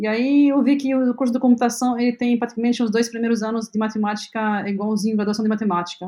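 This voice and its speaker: Very fast and with hardly any pauses, the voice has a dark, mellow tone and fairly even intonation. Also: woman, fairly high pitch for a woman. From Lebanon. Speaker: health tech company CEO. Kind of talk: interview. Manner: halting, many fillers.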